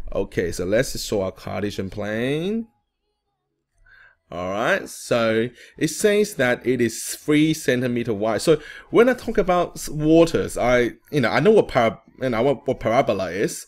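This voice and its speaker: Pitch swings very widely as a man talks in a very clean recording with a silent background. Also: medium pitch for a man, moderate pace. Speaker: maths tutor. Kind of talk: tutorial. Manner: halting, many fillers; casual.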